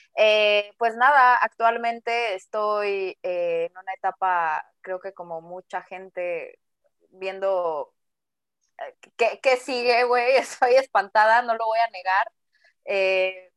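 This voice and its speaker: A woman talks at a very slow pace with a fairly high pitch and ordinary pitch variation. The sound is dry and close, with no echo. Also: big swings in loudness. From Mexico City. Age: 20s. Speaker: podcast co-host. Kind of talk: casual chat.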